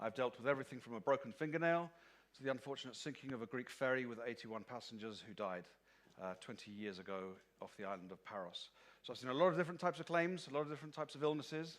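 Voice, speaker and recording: At a very fast pace, the voice swings widely in loudness, with lively intonation. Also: man, medium pitch for a man. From London, England. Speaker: marine insurance claims expert. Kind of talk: conference presentation.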